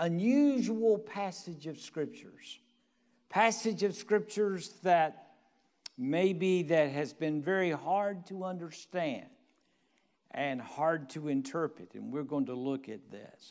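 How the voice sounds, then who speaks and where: A man speaks at a very slow pace. His loudness swings widely. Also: quiet background. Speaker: senior pastor. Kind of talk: sermon. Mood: warm, festive. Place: church. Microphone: lapel.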